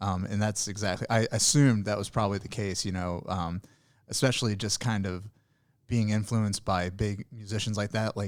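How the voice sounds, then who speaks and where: This man talks at a fairly quick pace with a slight Southern Illinois accent and a fairly low pitch. The recording is very clean, with a silent background, and his intonation is fairly even. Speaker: podcast host. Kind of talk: podcast interview. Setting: studio.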